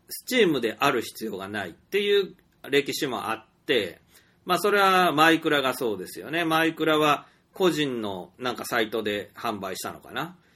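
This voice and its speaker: On a very clean recording with a silent background, a man's fairly high, bright, sharp voice shows vocal fry, very wide pitch swings and big swings in loudness. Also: moderate pace. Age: 40s. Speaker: storyteller and indie game developer. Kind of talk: solo monologue podcast. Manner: hesitant, many fillers.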